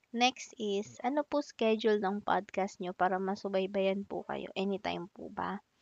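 The sound is dry and close with no echo as a woman speaks very slowly at a medium pitch with ordinary pitch variation. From Philippines, Makati (Metro Manila). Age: 20s. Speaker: student podcaster. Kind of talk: casual solo podcast Q&A.

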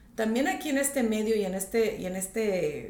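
A woman with a fairly high voice speaks at a moderate pace with lively intonation, amid noticeable background noise and audible room echo. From northern Mexico, Tijuana. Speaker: real estate agent. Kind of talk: podcast interview.

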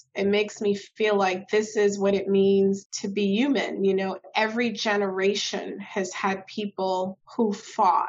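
Speaking at a very slow pace, a woman with a New York accent uses a medium pitch and monotone, flat intonation. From Brooklyn, New York. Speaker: state legislator. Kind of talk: interview.

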